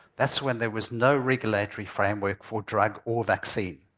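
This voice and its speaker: A plain, everyday voice from a man, medium in pitch and moderate in pace. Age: 60s. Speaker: lecturer on vaccine safety. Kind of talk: lecture.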